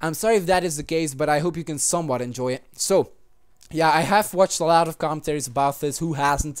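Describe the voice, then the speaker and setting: The speaker, with a non-native accent, talks at a very fast pace. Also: man, fairly high pitch for a man, ordinary pitch variation. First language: not English. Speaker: gaming YouTuber. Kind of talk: gameplay commentary. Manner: halting.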